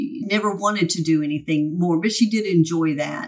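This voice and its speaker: A woman with an ordinary speaking voice, an American accent, a fairly low pitch, lively intonation and a moderate pace. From Texas, Dallas-Fort Worth area. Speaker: insurance agency owner. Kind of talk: interview.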